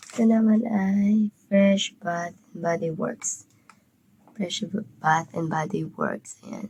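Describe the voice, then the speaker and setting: A woman's somewhat breathy voice, very slow, with big swings in loudness and fairly even intonation. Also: medium pitch for a woman. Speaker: vlogger. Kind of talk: casual vlog, gift unboxing.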